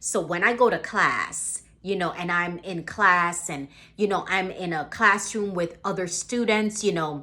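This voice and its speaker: In a very clean recording with a silent background, a woman with a Caribbean accent speaks at a fairly slow pace, her medium pitch carrying lively intonation and a bright, sharp tone. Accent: Caribbean island. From Caribbean islands. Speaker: motivational vlogger. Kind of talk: motivational talk to camera. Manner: casual, many fillers.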